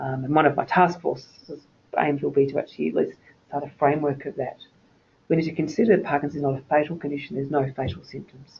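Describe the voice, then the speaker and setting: This man has an Australian accent and a fairly high pitch, and he talks at a very fast pace. His voice is somewhat breathy, with fairly even intonation. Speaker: nurse consultant presenting a webinar. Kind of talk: lecture. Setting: webinar.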